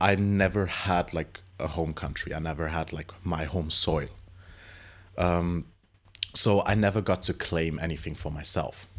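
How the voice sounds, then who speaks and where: A man speaks at a fairly slow pace. His pitch is very deep and low, with fairly even intonation. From Europe, Brazilian-Danish family. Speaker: drag performer. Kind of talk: interview.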